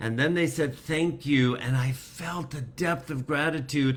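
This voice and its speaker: Man speaking at a moderate pace with ordinary pitch variation. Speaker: spiritual teacher. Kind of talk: live spiritual talk. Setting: livestream on computer.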